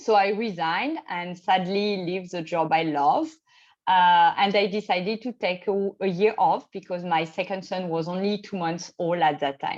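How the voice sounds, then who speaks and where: A woman's medium-pitched voice with a French accent, ordinary pitch variation and a moderate pace. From France, Champagne region. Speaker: expat spouse. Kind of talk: interview. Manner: hesitant, with fillers.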